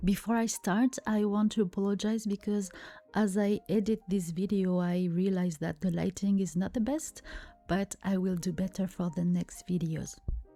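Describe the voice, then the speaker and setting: A woman with a strong French accent speaks at a medium pitch in a calm tone. Her voice is dark and mellow, with fairly even intonation. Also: moderate pace. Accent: thick French. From France. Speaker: art content creator. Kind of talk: tutorial voiceover.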